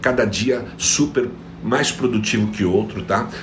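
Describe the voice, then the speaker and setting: An animated male voice at a moderate pace with ordinary pitch variation, noticeable background noise and audible room echo. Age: 50s. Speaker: productivity coach. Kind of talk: motivational live stream talk. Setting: online live stream.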